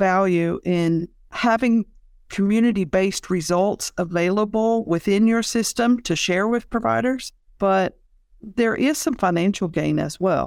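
In a very clean recording with a silent background, a woman with an ordinary speaking voice talks at a medium pitch and a fairly slow pace, with ordinary pitch variation. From rural Kentucky and West Virginia. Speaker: laboratory professional and healthcare researcher. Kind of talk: interview.

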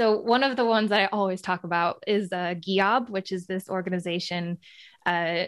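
A woman with a plain, everyday voice in an American accent, medium pitch, moderate pace, and a very clean recording with a silent background. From United States. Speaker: sustainability researcher and podcast host. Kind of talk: interview conversation.

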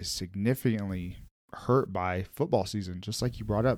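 On a very clean recording with a silent background and a dry, close sound with no echo, a man talks at a fairly quick pace in an ordinary speaking voice, fairly low in pitch, with ordinary pitch variation. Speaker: podcast host. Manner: casual, with frequent filler words.

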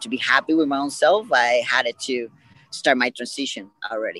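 In a Puerto Rican accent, a man talks at a moderate pace with a bright, sharp tone. The sound is dry and close with no echo. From Puerto Rico. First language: Spanish. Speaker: podcast guest. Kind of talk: interview.

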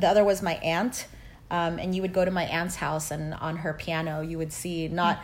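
Speaking at a moderate pace in a Californian accent, a woman keeps a fairly low pitch and a monotone, flat intonation, with audible room echo around her. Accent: Californian American English. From Los Angeles, raised by Filipino immigrant parents. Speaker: criminal defense lawyer. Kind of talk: interview.

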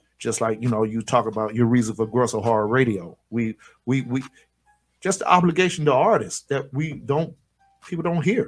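With music in the background, a speaker with an American accent talks at a moderate pace with lively intonation. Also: man, medium pitch for a man. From Florida. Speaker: radio co-host and company owner. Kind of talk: casual radio chat.

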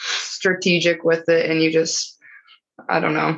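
Speaking with a Midwestern US accent, a woman talks at a fairly slow pace with a fairly low pitch. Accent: rural Midwestern US. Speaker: cattle rancher. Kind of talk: casual interview.

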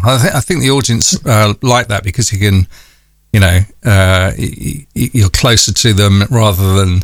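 Speaking in a North London accent, a man keeps a moderate pace. His voice sits at a fairly low pitch, with ordinary pitch variation. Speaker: radio broadcaster and podcast host. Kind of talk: interview. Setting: remote call.

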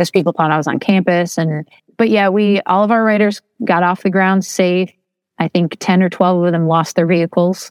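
A woman talks at a fairly quick pace and medium pitch with a Midwestern American accent and fairly even intonation. Her loudness stays very even, and the sound is dry and close with no echo. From Toledo, Ohio. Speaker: writer and educator. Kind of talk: interview.

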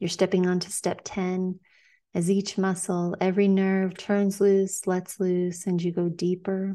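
A dark, mellow, soothing, gentle tone at a fairly slow pace, with monotone, flat intonation against a quiet background. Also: woman, medium pitch for a woman. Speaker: hypnotherapist podcast host. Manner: slow, soothing, repetitive, hypnotic cadence with gentle commands.

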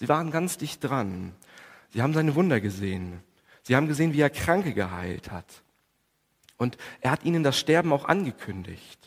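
A man speaks at a moderate pace in a fairly high voice with vocal fry and very wide pitch swings. His pauses are long and frequent. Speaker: preacher. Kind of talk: Good Friday sermon in church, calm and explanatory, with prayer. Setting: church. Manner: measured, earnest, formal preaching delivery with some hesitation fillers.

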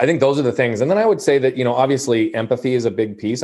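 A man speaks at a medium pitch with lively intonation. His tone is dark and mellow. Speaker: motivational speaker and coach. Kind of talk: podcast interview. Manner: measured, calibrated.

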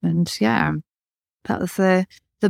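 Recorded dry and close with no echo against a silent background, the very clean audio carries speech at a moderate pace. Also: woman. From North Birmingham, England. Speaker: watchmaker and author. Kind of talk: casual interview. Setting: studio.

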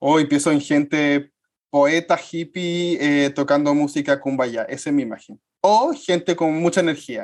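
A man's fairly high-pitched, plain, everyday voice, with fairly even intonation at a fairly slow pace. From Chile. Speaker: podcast co-host, historian. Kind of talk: casual chat.

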